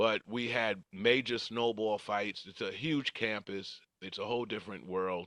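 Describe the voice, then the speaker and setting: A man's fairly low-pitched voice, bright and sharp in tone, with fairly even intonation at a fairly slow pace, hardly any pauses, and a dry, close sound with no echo against a quiet background. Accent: New York. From New York, Queens. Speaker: retired correction officer and former track athlete. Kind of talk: interview storytelling.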